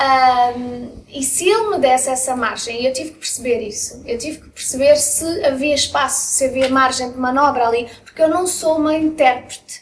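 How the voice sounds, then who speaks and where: Over noticeable background noise, a high-pitched woman speaks with hardly any pauses and big swings in loudness. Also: ordinary pitch variation, moderate pace. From Belgium (Brussels), moved to Portugal at 10. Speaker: singer. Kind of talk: casual interview. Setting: restaurant.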